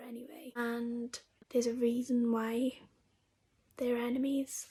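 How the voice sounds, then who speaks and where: A woman speaks quietly at a fairly slow pace. Her high pitch comes with a dark, mellow tone. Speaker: book youtuber. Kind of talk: casual vlog review.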